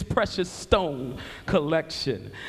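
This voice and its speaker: A man speaks with music in the background. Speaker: spoken word poet. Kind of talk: spoken word poetry performance.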